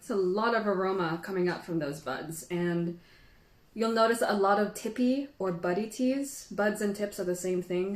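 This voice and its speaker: Noticeable background noise sits behind a woman speaking at a medium pitch with a Filipino accent. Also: ordinary pitch variation, moderate pace. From Philippines. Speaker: tea educator. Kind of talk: live stream tea tasting tutorial. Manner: casual, chatty.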